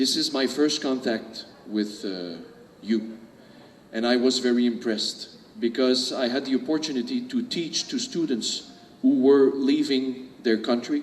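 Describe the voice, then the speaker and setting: Over noticeable background noise, a man with a medium-pitched voice speaks at a very slow pace, leaving long, frequent pauses. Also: ordinary pitch variation. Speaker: public speaker. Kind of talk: speech. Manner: hesitant, many fillers.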